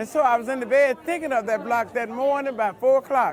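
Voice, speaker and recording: A woman with a high pitch and ordinary pitch variation speaks amid audible room echo and crowd noise in the background. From US South, rural Alabama. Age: 70s. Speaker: quilter. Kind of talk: storytelling interview.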